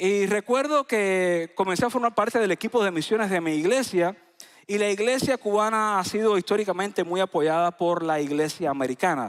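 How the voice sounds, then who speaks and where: A man talks at a moderate pace in a high voice, with ordinary pitch variation and very even loudness. The recording is very clean with a silent background, and the sound is dry and close with no echo. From Cuba, Isla de la Juventud. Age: 40s. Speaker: pastor. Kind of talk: sermon. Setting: church.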